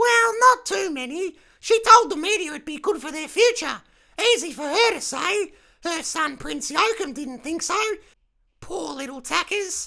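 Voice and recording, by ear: A female-sounding put-on character voice talks at a moderate pace in an extremely high pitch.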